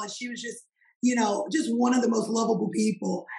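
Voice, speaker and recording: Speaking with a Mississippi accent, a woman delivers her lines at a fairly high pitch and a fairly quick pace. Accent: Southern US (Mississippi). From US South, Poplarville, Mississippi. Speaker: country singer. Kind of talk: casual interview.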